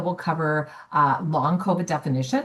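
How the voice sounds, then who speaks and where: A woman speaking at a fairly quick pace. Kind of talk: webinar presentation. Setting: online webinar. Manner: fast.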